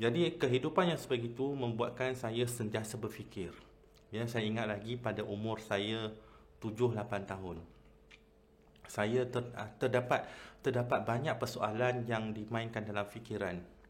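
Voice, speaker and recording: Audible room echo surrounds speech delivered at a moderate pace with ordinary pitch variation. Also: man, medium pitch for a man. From Malaysia, Kedah. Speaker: Islamic convert preacher, channel host. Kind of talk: personal testimony talk. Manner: hesitant, many fillers.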